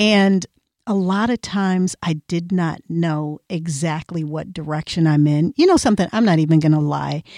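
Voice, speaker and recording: A woman with a fairly low pitch and a dark, mellow tone speaks at a moderate pace with ordinary pitch variation, in a dry, close sound with no echo. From Iowa. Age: 50s. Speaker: podcast co-host, author and entrepreneur. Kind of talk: casual chat.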